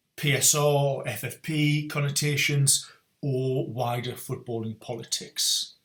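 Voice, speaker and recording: Fairly even intonation and a bright, sharp tone. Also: man. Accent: North East England. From North East England (Newcastle). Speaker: strength and conditioning coach, podcast host. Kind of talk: solo podcast monologue.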